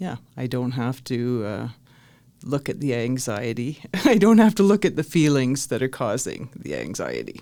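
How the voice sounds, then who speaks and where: A woman's very deep, low pitch with vocal fry and a dark, mellow tone, very wide pitch swings at a moderate pace, in a very clean recording with a silent background. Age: 60s. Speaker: retired bus driver. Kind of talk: casual interview. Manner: hesitant, many fillers.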